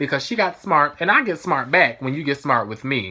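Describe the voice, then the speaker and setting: Loud and animated, a woman speaks with lively intonation. Her tone is bright and sharp. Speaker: vlogger. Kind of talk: storytime vlog.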